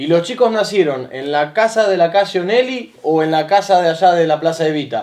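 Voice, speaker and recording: Hardly any pauses break up the talking. It goes at a fairly quick pace. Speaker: interviewer. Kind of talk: interview questions.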